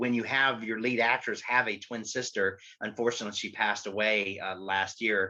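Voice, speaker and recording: The tone is bright and sharp, with monotone, flat intonation. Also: man. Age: 40s. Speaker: panelist. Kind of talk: casual panel discussion.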